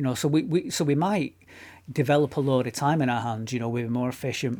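On a very clean recording with a silent background, a man with a northern English accent talks at a fairly quick pace and medium pitch. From northern England. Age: middle-aged. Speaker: podcast co-host. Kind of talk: casual chat. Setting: home studio.

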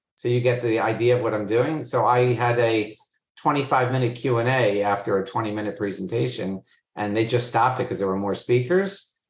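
A man with an American accent talks at a moderate pace, his voice somewhat breathy. His pitch is medium, with ordinary variation. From Florida, US. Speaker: agency CEO. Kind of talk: interview conversation. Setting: video call.

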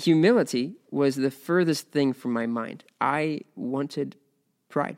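This man talks at a very slow pace with a fairly high pitch and ordinary pitch variation. The recording is very clean, with a silent background. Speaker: podcast host and ministry teacher. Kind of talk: testimony. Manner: halting, with repeated words.

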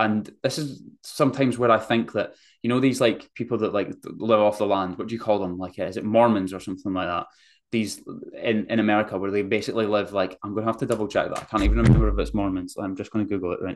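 A man talks at a very fast pace with vocal fry and a fairly low pitch. His intonation stays fairly even over a quiet background. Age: 20s. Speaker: fitness coach and podcast host. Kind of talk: solo casual monologue. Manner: casual, filler-heavy.

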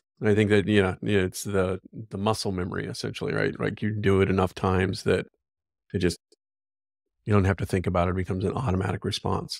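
With vocal fry and fairly even intonation, a man with a very deep, low pitch talks at a very fast pace. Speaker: YouTube host interviewer. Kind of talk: interview.

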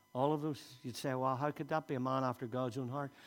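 Pitched in the medium range, the man's voice moves fairly quickly. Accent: Northern Irish. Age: 60s. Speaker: pastor. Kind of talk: sermon. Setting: church.

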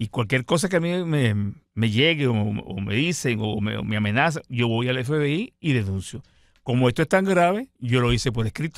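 In an ordinary speaking voice, a man talks at a moderate pace and medium pitch with lively intonation, on a very clean recording with a silent background. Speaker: retired navy admiral, political exile. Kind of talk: radio interview.

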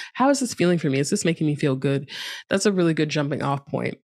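The recording is very clean with a silent background, and the voice moves through very wide pitch swings at a fairly quick pace. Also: woman. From United States. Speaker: yoga teacher and author. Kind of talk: casual interview chat. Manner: laughs often.

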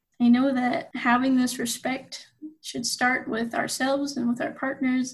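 A woman's high voice with fairly even intonation, in a western US accent. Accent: western American. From Utah. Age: 20s. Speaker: university student. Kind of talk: interview.

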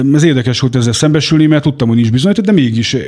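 This man's voice sits at a medium pitch, with lively intonation. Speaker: former prisoner. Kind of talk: life story interview. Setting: studio. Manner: halting.

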